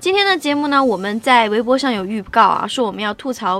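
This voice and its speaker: The speaker is a woman with a fairly high pitch. Her pace is fairly quick. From Shaanxi, northern China. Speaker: radio host. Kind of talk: casual chat.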